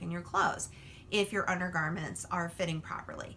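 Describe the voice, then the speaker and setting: At a fairly quick pace, a woman talks in an ordinary speaking voice with a medium pitch. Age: 40s. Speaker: lifestyle blogger. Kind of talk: casual vlog talk to followers. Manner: casual, filler-heavy.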